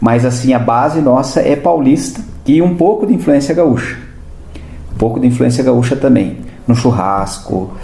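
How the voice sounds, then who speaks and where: A man's medium-pitched voice at a moderate pace, lively intonation and very even loudness, with audible room echo and noticeable background noise. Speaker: historian and teacher, podcast guest. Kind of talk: interview, explaining local history. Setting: podcast studio.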